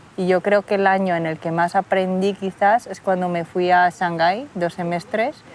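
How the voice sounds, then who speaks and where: Over noticeable background noise, a woman with a medium pitch talks at a moderate pace with fairly even intonation and hardly any pauses. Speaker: interviewee, daughter of Chinese immigrants. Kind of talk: interview testimony. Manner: casual, hesitant.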